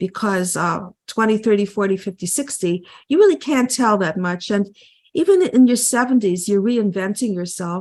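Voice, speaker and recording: A woman speaks at medium pitch. Her pace is moderate and her pitch variation ordinary. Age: 60s. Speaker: psychotherapist and author. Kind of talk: interview. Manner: hesitant, many fillers.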